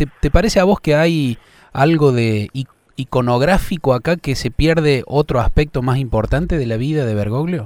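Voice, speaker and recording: The man speaks at a fairly high pitch with an Argentine accent, the sound dry and close with no echo. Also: ordinary pitch variation, moderate pace, very clean recording, silent background. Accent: Argentine Spanish (voseo). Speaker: radio host. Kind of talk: interview.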